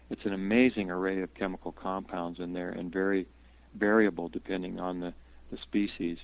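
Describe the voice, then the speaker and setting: Speaking with fairly even intonation, a man with a very deep, low pitch keeps a fairly quick pace. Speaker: herbalist and botanist. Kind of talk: interview, casual chat. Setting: phone call.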